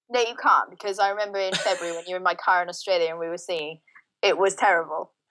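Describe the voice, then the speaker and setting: Speaking at a very fast pace, a woman uses a medium pitch, fairly even intonation and a bright, sharp tone. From Wales. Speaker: fitness and nutrition coach. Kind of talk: casual chat. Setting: outdoors on a balcony by the ocean.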